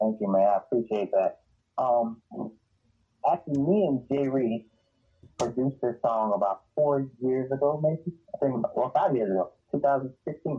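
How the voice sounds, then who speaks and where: Music plays behind a man with an American accent who speaks with ordinary pitch variation, very even loudness, and long, frequent pauses. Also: medium pitch for a man, moderate pace. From South Carolina. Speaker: musician. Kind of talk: casual interview.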